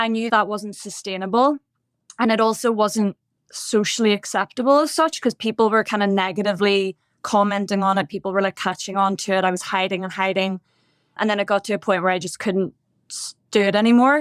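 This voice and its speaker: With a Northern Irish accent, a woman speaks at a medium pitch and a fairly quick pace. Her pitch varies in an ordinary way, and the sound is dry and close with no echo. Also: very clean recording, silent background. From Northern Ireland, Bangor near Belfast. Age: 30s. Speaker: podcast guest in recovery. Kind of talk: testimony.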